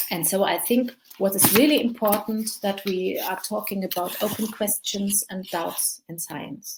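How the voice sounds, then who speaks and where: On a very clean recording with a silent background, a woman speaks at a moderate pace and medium pitch. Her voice is somewhat breathy, with ordinary pitch variation. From Germany. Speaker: journalist and podcast host. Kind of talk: conference talk. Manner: hesitant, with frequent fillers.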